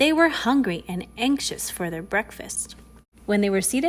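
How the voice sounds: Reading done in a natural voice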